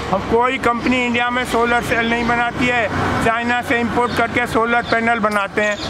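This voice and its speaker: A man's raised, projected voice at an extremely high pitch, monotone and flat, with very even loudness, audible room echo and noticeable background noise. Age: 80s+. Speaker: retired engineer and activist. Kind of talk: impassioned public talk.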